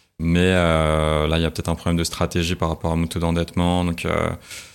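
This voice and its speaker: A man speaks at a moderate pace in a very deep, low voice, his intonation monotone and flat. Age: 20s. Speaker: finance professional. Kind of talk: interview. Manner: halting.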